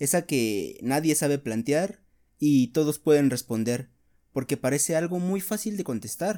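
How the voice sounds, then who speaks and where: A man with a fairly high pitch talks at a fairly slow pace in a dark, mellow tone. The recording is very clean, with a silent background. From Mexico, Veracruz. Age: 20s. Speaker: podcaster, psychology student and fitness instructor. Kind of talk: solo monologue podcast.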